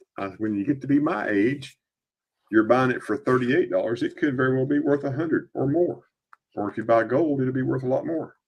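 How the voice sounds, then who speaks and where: Speaking with an ordinary speaking voice, a man moves along at a fairly quick pace, his medium pitch showing ordinary variation. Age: 50s. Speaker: coin dealer live stream host. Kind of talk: live stream selling coins. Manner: casual, chatty.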